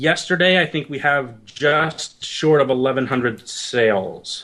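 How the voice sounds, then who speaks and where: A man's fairly high voice with ordinary pitch variation and a slight Canadian accent. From Canada, near Detroit. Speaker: indie game developer. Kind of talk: interview.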